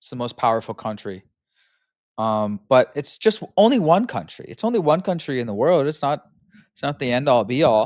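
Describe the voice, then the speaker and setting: Moderate pace with an American accent, on a very clean recording with a silent background. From US Pacific Northwest (Seattle). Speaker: podcast host reacting to videos. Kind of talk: casual reaction commentary. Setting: at home on couch. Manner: halting, many fillers. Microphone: new microphone.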